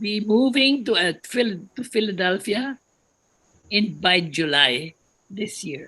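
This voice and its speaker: This woman speaks at a very slow pace and sounds somewhat breathy. Her intonation is lively. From Philippines. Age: 90s. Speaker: retired religious sister, musician. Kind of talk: personal testimony.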